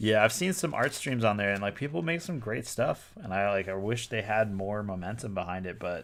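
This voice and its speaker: A man with a Boston accent speaks at a very fast pace, his pitch fairly low. The recording is very clean, with a silent background. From Boston, US. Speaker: toy designer and artist streamer. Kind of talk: live stream casual chat. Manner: casual, many filler words.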